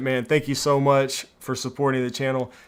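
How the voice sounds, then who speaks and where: A man speaks at a fairly high pitch. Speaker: smart home YouTuber. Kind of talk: live stream Q&A. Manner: casual, hesitant with fillers.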